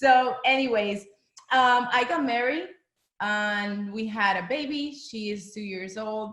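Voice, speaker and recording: A woman with a Spanish accent speaks very slowly in a fairly high pitch, with ordinary pitch variation and big swings in loudness. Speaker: former actress, direct sales seller. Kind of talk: business presentation. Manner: casual, enthusiastic.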